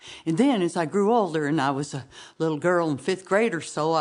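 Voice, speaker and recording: Against a quiet background, a woman with a fairly low pitch speaks at a moderate pace. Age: 50s. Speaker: storyteller. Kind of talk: storytelling competition performance. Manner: halting, with frequent repetitions and fillers; folksy, conversational.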